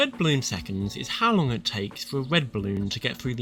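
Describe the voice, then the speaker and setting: A man's voice with lively intonation at a fairly quick pace, over noticeable background noise. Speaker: gaming tutorial creator. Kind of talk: tutorial.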